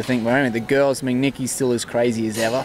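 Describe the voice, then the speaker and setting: Speaking at a very fast pace with an Australian accent, a man holds a medium pitch and fairly even intonation over noticeable background noise. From Queensland, Australia. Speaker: horse trainer. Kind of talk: casual interview. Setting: horse expo event, Canada.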